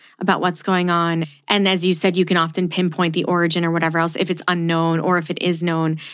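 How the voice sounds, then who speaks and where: This woman talks very fast at a fairly low pitch, her loudness very even. Her intonation is flat and monotone against a quiet background. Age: 30s. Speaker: podcast host. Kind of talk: casual interview.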